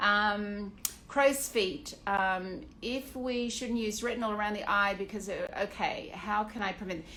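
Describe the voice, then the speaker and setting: Fairly slow, fairly even speech with an Australian accent and audible room echo. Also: woman, fairly high pitch for a woman. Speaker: aesthetician. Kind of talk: Q&A monologue. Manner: casual, with many fillers.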